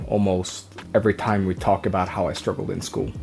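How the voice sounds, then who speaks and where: Music plays in the background as a man talks at a moderate pace. He speaks with a Norwegian accent. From Norway. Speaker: vlogger. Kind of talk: personal vlog. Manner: halting.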